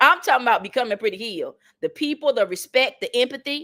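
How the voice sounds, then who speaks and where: Heard on a very clean recording with a silent background, a woman with a Southern accent talks at a fairly quick pace in a high-pitched voice with a bright, sharp tone. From North Carolina, US South. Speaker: motivational speaker. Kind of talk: motivational talk. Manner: animated, preacher-like repetition.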